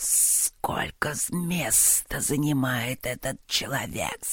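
A put-on character voice whispers at a very slow pace. The sound is raspy and hissing. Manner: hissing, offended.

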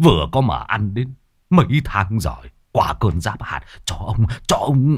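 The recording is plain reading aloud, set against a quiet background.

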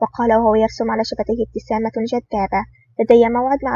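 Someone reads the text aloud in a natural voice.

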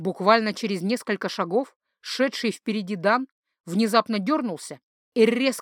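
Against a quiet background, reading aloud in a natural voice with ordinary pitch variation

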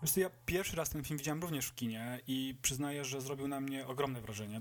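A man with an unremarkable speaking voice, medium pitch, ordinary pitch variation, and a fairly quick pace. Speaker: film podcast host. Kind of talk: casual chat.

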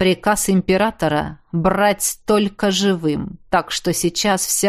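In a natural voice, the text is read aloud.

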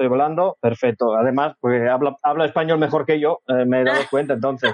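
The speaker is a man at medium pitch, talking at a very fast pace. His intonation is fairly even. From Sardinia, Italy. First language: Sardinian/Italian (speaking Spanish). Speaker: cultural association representative. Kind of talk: interview.

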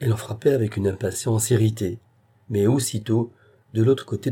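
This is someone reading aloud. It is done in a natural voice.

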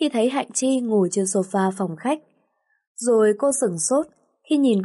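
A natural reading voice is heard. Behind it, all is quiet.

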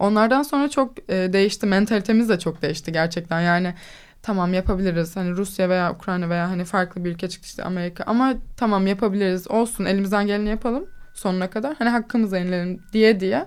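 Very fast talking comes with ordinary variation in pitch. Behind it, the recording is very clean and the background silent. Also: woman, medium pitch for a woman. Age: 20s. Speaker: fencer. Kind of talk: interview. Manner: confident.

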